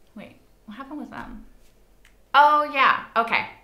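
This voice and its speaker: A woman's voice comes with audible room echo. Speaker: reaction video host. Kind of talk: casual vlog chat. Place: home room. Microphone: lapel.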